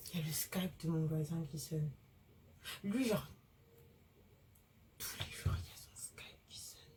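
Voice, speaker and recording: Soft-spoken and at a moderate pace, a woman talks in a very deep, low voice with vocal fry, big swings in loudness and long, frequent pauses. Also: ordinary pitch variation. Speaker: law student vlogger. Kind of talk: vlog. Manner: hesitant, many fillers.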